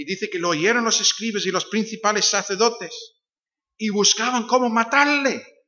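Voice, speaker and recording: A man with an English accent talks at a high pitch and a moderate pace. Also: ordinary pitch variation. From Northern Ireland. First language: English (speaking Spanish). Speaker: visiting pastor. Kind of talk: sermon. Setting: church.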